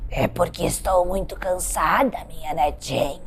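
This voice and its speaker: A woman puts on a character voice and speaks at a fairly slow pace over clear background noise. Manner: feigning illness and weariness.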